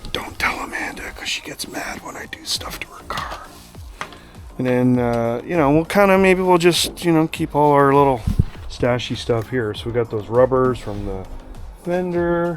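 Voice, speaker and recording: Music plays in the background as a man speaks at a moderate pace. His pitch is fairly high for a man, with lively intonation. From Canada. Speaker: car YouTuber. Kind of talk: casual vlog talk to camera. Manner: casual, many filler words.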